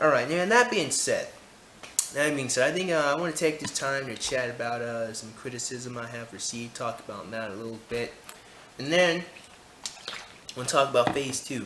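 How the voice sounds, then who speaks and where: Amid audible room echo and noticeable background noise, a man with a fairly high pitch speaks with big swings in loudness and long, frequent pauses. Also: ordinary pitch variation, moderate pace. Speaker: YouTuber. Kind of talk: casual vlog chat. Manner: casual, filler-heavy.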